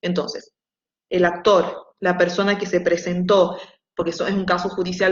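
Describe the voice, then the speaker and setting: Her pitch fairly low, a woman talks at a fairly quick pace with fairly even intonation. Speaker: university lecturer. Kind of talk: online lecture; casual chat. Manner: fast.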